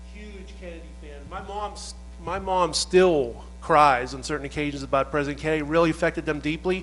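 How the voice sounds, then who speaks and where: Over music in the background, a man talks at a fairly quick pace with hardly any pauses and big swings in loudness. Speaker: assassination researcher and author. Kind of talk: casual chat.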